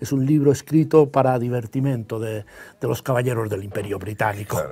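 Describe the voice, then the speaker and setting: In a Catalan accent, a man speaks at a moderate pace with ordinary pitch variation. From Catalonia, Spain. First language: Catalan (speaking Spanish). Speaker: novelist; guest. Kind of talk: interview. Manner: hesitant, many fillers. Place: studio. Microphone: lapel.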